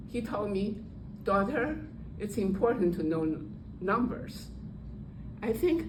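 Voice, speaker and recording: A woman's medium-pitched voice in a Chinese accent, lively intonation and audible room echo. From Taiwan. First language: Mandarin Chinese. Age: old. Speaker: Toastmasters speaker, retired statistician. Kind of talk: prepared speech. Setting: speaking club meeting with audience.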